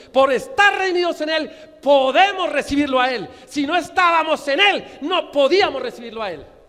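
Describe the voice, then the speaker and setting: Noticeable background noise sits under a man speaking with lively intonation. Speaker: pastor. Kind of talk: sermon. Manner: fast; stutters at times.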